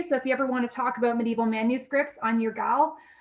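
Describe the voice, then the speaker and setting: Music plays in the background as a woman talks at a very fast pace. She has a high pitch and a Canadian accent. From Canada. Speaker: university lecturer. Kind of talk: lecture. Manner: casual, frequent fillers.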